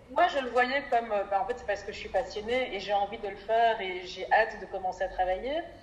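A woman with a fairly high pitch talks at a fairly quick pace, with hardly any pauses. Noticeable background noise can be heard. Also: ordinary pitch variation. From Belgium, Brussels. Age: 20s. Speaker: NGO development worker. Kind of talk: interview.

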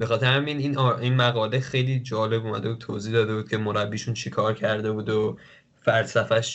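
With fairly even intonation, a man speaks at medium pitch in an ordinary speaking voice. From Iran. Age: 20s. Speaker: footballer and football commentator. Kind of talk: casual chat.

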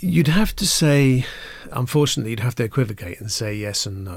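The recording is very clean and the background silent. Here a man talks with a somewhat breathy quality. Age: 50s. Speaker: urban design and architecture expert. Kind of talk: interview discussion.

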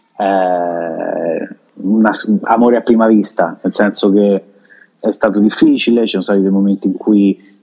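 A man speaks at a fairly low pitch with fairly even intonation. His is an ordinary speaking voice. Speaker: Italian expat in Dominican Republic. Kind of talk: casual interview.

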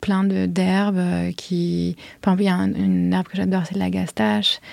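The voice has a dark, mellow tone. Its intonation stays fairly even. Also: woman. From Paris. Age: 30s. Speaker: flower farmer. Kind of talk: interview.

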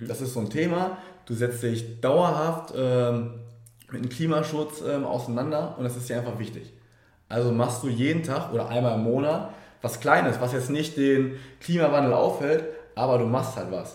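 A man at a medium pitch and moderate pace, with ordinary pitch variation, audible room echo and noticeable background noise. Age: 20s. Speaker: team member of a coaching business. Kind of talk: casual interview.

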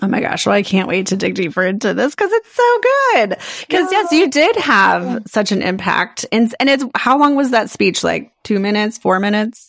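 Speaking at a moderate pace, a woman talks with hardly any pauses. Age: 40s. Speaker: podcast host and life coach. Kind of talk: casual chat.

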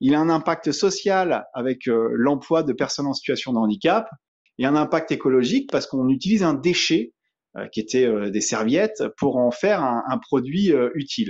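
Lively intonation and a fairly high pitch mark a man talking at a moderate pace. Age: 30s. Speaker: eco-product entrepreneur. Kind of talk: interview. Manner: hesitant, many fillers.

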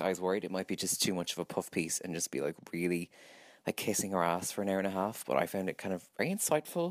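Very deep and low in pitch, a man with an Irish accent speaks at a very fast pace. The sound is dry and close with no echo, in a very clean recording against a silent background. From Ireland. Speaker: listener contributor. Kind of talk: recorded voice message review.

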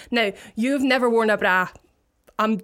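The speaker has a Scottish accent and keeps a fairly even intonation. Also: woman. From Scotland, Paisley. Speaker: DJ. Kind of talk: casual chat.

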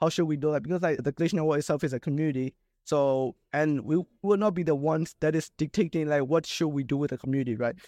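A very fast man's voice, fairly high in pitch with a dark, mellow tone and ordinary pitch variation, dry and close with no echo over a quiet background. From Southeast Asia. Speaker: web3 startup founder. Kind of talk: casual chat.

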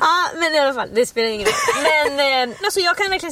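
Against noticeable background noise, a woman speaks very fast at a high pitch, her voice swinging very widely up and down. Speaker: podcast co-host. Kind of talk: casual chat.

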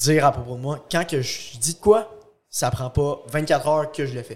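A man speaks at a fairly slow pace with ordinary pitch variation. His voice is somewhat breathy. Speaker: young entrepreneur and fitness competitor. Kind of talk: casual podcast interview.

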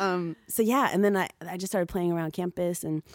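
At a moderate pace, the woman's voice comes through on a very clean recording with a silent background. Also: dry, close sound with no echo. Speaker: musician rapper singer. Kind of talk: casual interview chat. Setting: studio interview after sound check.

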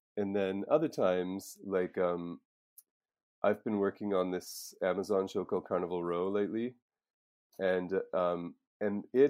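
In a Maritime Canadian accent, a man speaks at a moderate pace and a fairly low pitch. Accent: Canadian (Maritimes). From Nova Scotia, Canada. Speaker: storyboard artist. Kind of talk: interview.

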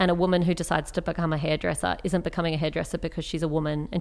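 An Australian accent marks this woman's fairly low voice, which moves at a very fast pace with monotone, flat intonation. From Australia, Canberra. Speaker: writer and public speaker. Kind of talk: interview conversation.

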